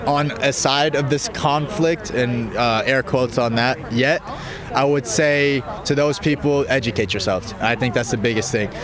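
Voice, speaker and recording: Against noticeable background noise, a man with an American accent speaks at a moderate pace and medium pitch, with ordinary pitch variation and very even loudness. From US, Colorado. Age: young. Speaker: youth activist organizer. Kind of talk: street interview. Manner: hesitant, many fillers.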